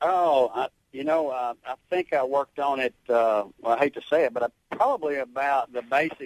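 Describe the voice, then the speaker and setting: A man speaks with a slight Southern US accent. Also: dry, close sound with no echo. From Arkansas. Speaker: songwriter and military veteran. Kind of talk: radio interview. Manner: halting.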